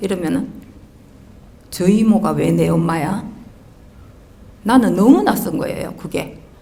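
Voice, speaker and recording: A woman at a fairly slow pace with long, frequent pauses, amid noticeable background noise and audible room echo. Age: 60s. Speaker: audience member asking a question. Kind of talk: personal testimony in a Q&A. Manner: halting.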